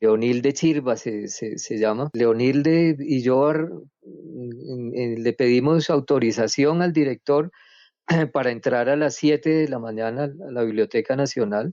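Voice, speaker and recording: A man talks at a fairly slow pace. His pitch is medium, with ordinary pitch variation. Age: 60s. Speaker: writer and researcher. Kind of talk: interview. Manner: halting, many repetitions and fillers.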